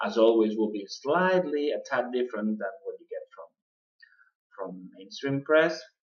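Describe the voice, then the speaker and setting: At a moderate pace, a man with a non-native accent talks in a fairly high pitch, with very wide pitch swings and big swings in loudness. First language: not English. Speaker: political podcast host. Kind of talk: political commentary podcast. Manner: halting, many fillers.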